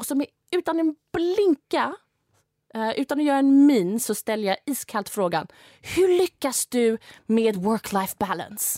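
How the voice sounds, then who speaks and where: A woman talks at a fairly slow pace, her high voice swinging very widely in pitch. The tone is dark and mellow, and the sound is dry and close with no echo. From Sweden, from age nine; earlier London and Saudi Arabia. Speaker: angel investor. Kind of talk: interview conversation.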